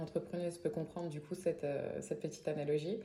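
Audible room echo surrounds a woman with a Parisian accent who speaks at a fairly quick pace, her fairly low pitch held in fairly even intonation. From Paris area, France. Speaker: singer-songwriter. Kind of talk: interview.

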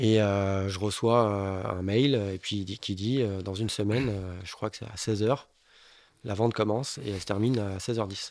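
On a very clean recording with a silent background, an unremarkable speaking voice talks at a fairly slow pace with fairly even intonation. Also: man, fairly low pitch for a man. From Bordeaux, France. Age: 30s. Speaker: building contractor, watch collector. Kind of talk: casual interview chat.

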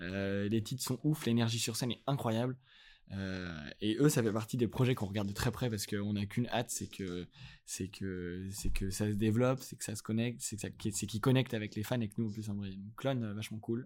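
On a very clean recording with a silent background, a man with a plain, everyday voice speaks at a fairly quick pace, fairly low in pitch, with fairly even intonation. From France, Lyon. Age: 20s. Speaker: music industry manager. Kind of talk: casual interview.

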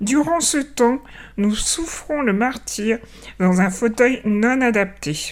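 At a very slow pace, a woman speaks in a fairly high pitch with lively intonation. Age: 40s. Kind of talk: scripted narration.

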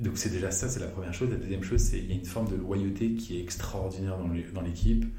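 A man's very deep, low voice at a very fast pace, with noticeable background noise and audible room echo. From France, Paris. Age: 30s. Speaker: venture capital investor. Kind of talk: interview. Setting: office. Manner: animated.

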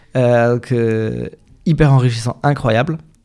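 The recording is very clean with a silent background, and a man talks with ordinary pitch variation. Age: 30s. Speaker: communication agency founder. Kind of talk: interview. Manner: hesitant, many fillers.

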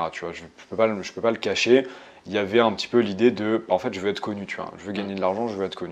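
Talking very fast, this man holds a medium pitch. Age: young. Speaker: solopreneur and ghostwriter for executives. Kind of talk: casual chat. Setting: in person in Budapest.

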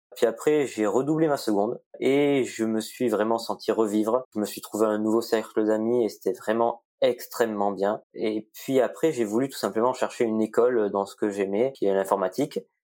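At a moderate pace with hardly any pauses, a man speaks at a medium pitch in a dark, mellow tone with fairly even intonation, in a very clean recording with a silent background. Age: 20s. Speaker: computer science student. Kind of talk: interview.

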